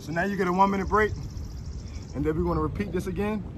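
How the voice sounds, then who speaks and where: There is noticeable background noise while a man speaks. The sound is dry, with no echo. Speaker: fitness trainer. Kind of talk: workout tutorial. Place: street. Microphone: phone near.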